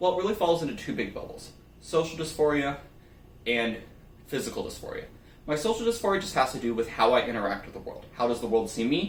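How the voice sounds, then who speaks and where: A man speaks at a very fast pace and a fairly high pitch, with very wide pitch swings. Room echo is audible. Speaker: nonbinary YouTuber. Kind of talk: personal vlog monologue.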